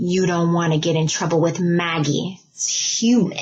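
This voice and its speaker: A woman's put-on character voice, fairly low in pitch. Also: moderate pace. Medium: read story. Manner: earnest, serious.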